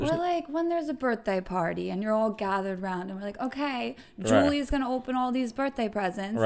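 Talking fairly quickly with hardly any pauses, a woman with an American accent uses a fairly high pitch and lively intonation over noticeable background noise. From New York. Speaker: podcast guest.

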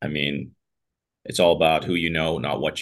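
With an American accent, this speaker goes at a fairly quick pace, showing vocal fry and fairly even intonation. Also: man. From US, Pittsburgh. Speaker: trial lawyer and company founder. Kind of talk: podcast interview. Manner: casual, conversational with fillers.

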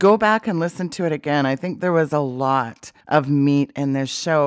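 A woman speaks with a Canadian accent on a very clean recording with a silent background. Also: dry, close sound with no echo. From Canada. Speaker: talk show host. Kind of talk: religious talk show. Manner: animated.

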